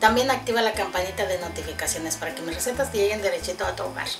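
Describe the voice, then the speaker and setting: A woman talks very fast while clear music plays in the background. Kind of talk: cooking tutorial. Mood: warm, cheerful. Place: kitchen. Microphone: camera far.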